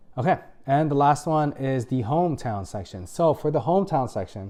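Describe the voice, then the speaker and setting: A man's fairly high pitch in a dark, mellow tone, with lively intonation at a moderate pace. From Philippines. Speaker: medical resident and video creator. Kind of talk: casual tutorial. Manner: casual, many filler words.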